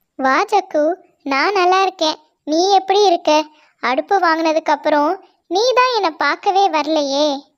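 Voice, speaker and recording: An extremely high-pitched cartoonish character voice. The pace is fairly slow. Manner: calm, kindly.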